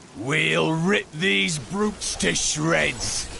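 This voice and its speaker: Someone speaks in a put-on character voice. Background noise is clearly audible. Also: man. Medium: video game. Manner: terse, confident.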